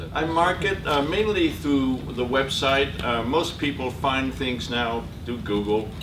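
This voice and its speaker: Amid noticeable background noise and audible room echo, a man talks at a medium pitch with very wide pitch swings. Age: 80s+. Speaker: photography teacher and entrepreneur. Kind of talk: talk to an audience. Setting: presentation to a group. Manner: halting, with many fillers.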